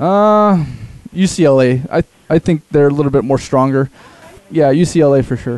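This man has a plain, everyday voice, fairly high in pitch with ordinary variation, talking at a fairly slow pace in a dry, close sound with no echo. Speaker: producer and sports talk co-guest. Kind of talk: casual sports chat. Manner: casual, filler-heavy.

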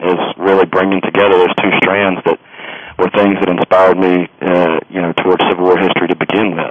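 A man with an Alabama accent and a very deep, low voice talks at a fairly quick pace in a monotone, flat intonation, with noticeable background noise. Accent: US Southern (Alabama). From Alabama, Birmingham area. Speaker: history professor and author. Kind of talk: interview. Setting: phone call. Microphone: old landline phone.

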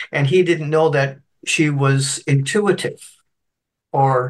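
A man's somewhat breathy voice. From Canada (Scottish-born, moved at three). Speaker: spiritual medium and minister. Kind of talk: interview storytelling. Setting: video call.

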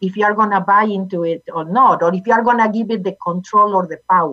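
Speaking at a medium pitch, a woman talks with a Spanish accent. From Argentina. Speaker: motivational speaker and author, former accountant. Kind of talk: interview, personal story and teaching.

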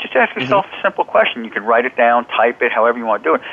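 A man talks at a very fast pace with lively intonation. Noticeable background noise runs underneath. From central New Jersey. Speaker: self-help author and human potential specialist. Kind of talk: interview.

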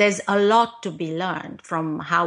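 A woman talks with vocal fry. Her intonation is fairly even. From Romania. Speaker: podcast host and business advisor. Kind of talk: interview. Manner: hesitant, many fillers.

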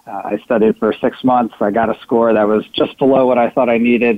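In an ordinary speaking voice, a man talks at a fairly quick pace, medium in pitch and fairly even in intonation. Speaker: consultant. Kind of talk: casual interview chat.

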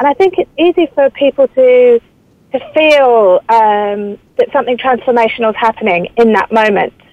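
A high-pitched woman's voice in a British accent, at a very even loudness. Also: lively intonation, moderate pace. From England. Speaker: author and journalist. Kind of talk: interview.

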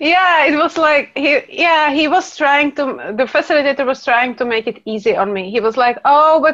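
With a Czech accent, a woman talks at a moderate pace with hardly any pauses. Her high pitch carries lively intonation. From Czech Republic. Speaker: class facilitator. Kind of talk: casual interview.

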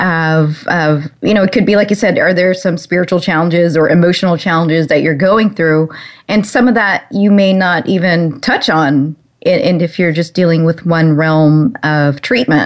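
A woman's fairly low-pitched, unremarkable speaking voice at a moderate pace, with ordinary pitch variation and very even loudness. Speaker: radio host. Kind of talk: radio interview. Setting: internet talk radio. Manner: warm, upbeat.

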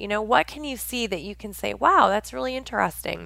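Here is a woman with an American accent. Her voice is fairly high, with lively intonation. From US Pacific Northwest. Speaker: internet radio host, success coach. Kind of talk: motivational talk radio monologue. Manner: halting with frequent repeated words.

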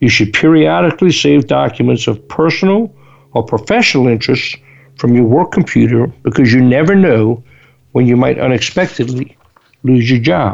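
At a moderate pace, the voice keeps very even loudness while the pitch swings very widely. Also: man, medium pitch for a man. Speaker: radio host for rental equipment industry. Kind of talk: radio monologue on business advice. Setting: live radio broadcast.

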